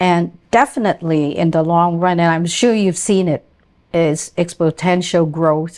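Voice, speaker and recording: Using a plain, everyday voice, a woman talks at a fairly slow pace with a fairly low pitch, fairly even intonation and very even loudness. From immigrant to Canada. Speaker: podcast host. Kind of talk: interview.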